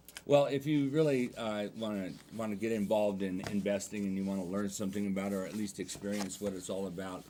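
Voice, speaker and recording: Here a man talks at a fairly quick pace. His voice sits fairly low, with a dark, mellow tone. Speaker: real estate agent. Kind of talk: TV interview. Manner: fast.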